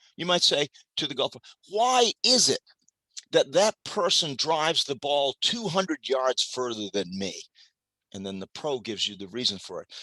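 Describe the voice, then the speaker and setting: Energetic and bright with a sharp tone, a man speaks at a moderate pace with fairly high pitch, very wide pitch swings, big swings in loudness and vocal fry, in a dry, close sound with no echo. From Maine. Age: 70s. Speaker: retired club general manager, speaker on hospitality. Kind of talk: motivational talk.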